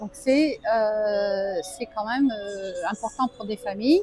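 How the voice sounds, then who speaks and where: Music plays in the background as a woman with a fairly high pitch speaks at a very slow pace and with fairly even intonation. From French Alps. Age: 60s. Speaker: expat entrepreneur, AI trainer. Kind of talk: interview. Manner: halting, many hesitations.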